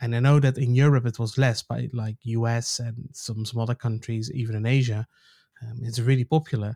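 In a very clean recording with a silent background and a dry, close sound with no echo, a man speaks at a fairly quick pace in a medium pitch, his tone dark, mellow and somewhat breathy, his intonation monotone and flat. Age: 40s. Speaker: podcast host. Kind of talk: casual chat.

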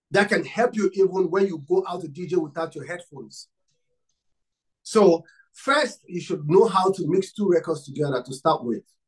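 This man's voice sits high in pitch, with a slightly husky edge. The pitch varies by an ordinary amount. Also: moderate pace.

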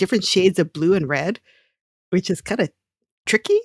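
Fairly quick in pace, a woman speaks at a medium pitch in a dry, close recording with no echo. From Hawaii. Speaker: podcast co-host. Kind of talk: casual chat.

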